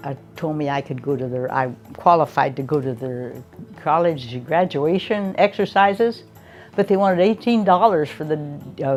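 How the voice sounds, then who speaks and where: A woman's very deep, low voice with very wide pitch swings, an American accent and a moderate pace, over background music. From Oregon, USA. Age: 80s+. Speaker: retired teacher. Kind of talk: interview answer.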